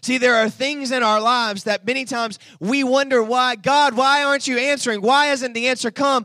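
Animated and raised, a man's extremely high-pitched voice projects at a fairly quick pace with hardly any pauses. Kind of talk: sermon. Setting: church with congregation. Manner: animated, call-and-response, urging the congregation to repeat lines; fervent, exhortative, rhythmic repetition.

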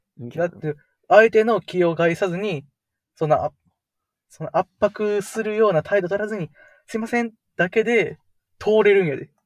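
Speaking in a Kansai accent at a high pitch, a man keeps a moderate pace with ordinary pitch variation, big swings in loudness, and long, frequent pauses, in a dry, close sound with no echo. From Kansai, Japan. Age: 20s. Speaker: podcast co-host. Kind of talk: casual chat.

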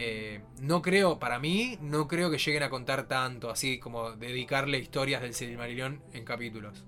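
This man has an unremarkable speaking voice with a medium pitch. He keeps a moderate pace and ordinary pitch variation. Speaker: podcast co-host. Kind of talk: casual chat.

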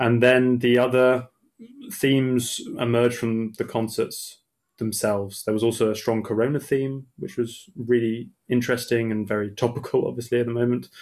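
A man with an English accent speaks at a medium pitch and a fairly quick pace. His intonation is monotone and flat. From England. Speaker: opera singer. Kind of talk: casual interview.

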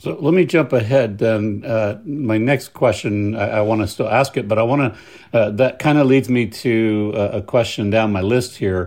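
An ordinary speaking voice, a man's medium-pitched delivery at a moderate pace, with ordinary pitch variation and hardly any pauses. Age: 50s. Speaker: pastor. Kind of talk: interview conversation. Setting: home.

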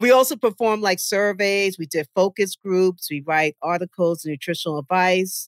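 Delivered in an American accent at a moderate pace with hardly any pauses and ordinary pitch variation, the voice sounds dry and close with no echo in a very clean recording over a silent background. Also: woman, medium pitch for a woman. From New York (Westchester). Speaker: dietitian and nutritionist. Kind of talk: casual interview conversation.

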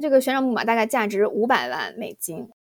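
This woman's voice sits fairly high in pitch, and her pitch varies in an ordinary way. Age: young. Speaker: podcast host. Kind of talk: casual chat.

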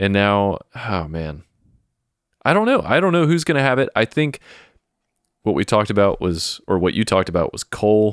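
A man's fairly low voice with very wide pitch swings and long, frequent pauses, dry and close with no echo, on a very clean recording with a silent background. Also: moderate pace. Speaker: wrestling podcast co-host. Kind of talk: casual chat.

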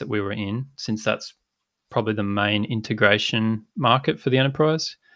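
A bright, sharp tone in an Australian accent, with ordinary pitch variation, on a very clean recording with a silent background. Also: man. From rural inland Australia. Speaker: tech startup co-founder. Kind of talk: interview.

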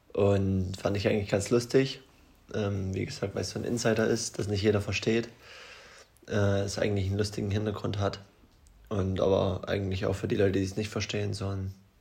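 With long, frequent pauses breaking up his fairly quick pace, a man talks in a somewhat breathy, fairly low voice that stays monotone and flat. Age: 20s. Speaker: podcast co-host. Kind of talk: casual chat.

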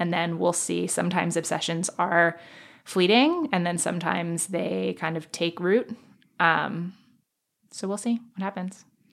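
A woman with an American accent speaks at a fairly slow pace in a normal speaking voice, fairly low in pitch with fairly even intonation. The recording is very clean, with a silent background. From US, New York City (Manhattan). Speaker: podcaster. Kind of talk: casual chat.

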